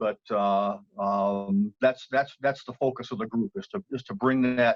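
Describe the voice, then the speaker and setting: Recorded dry and close with no echo, a man speaks at a moderate pace with lively intonation. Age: 60s. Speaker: cancer patient and support group leader. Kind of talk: interview. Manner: halting, many fillers and repetitions.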